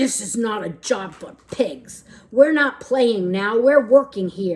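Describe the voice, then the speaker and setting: Growling in a put-on character voice, a woman with a fairly high pitch talks at a fairly slow pace. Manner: aggressive, growly.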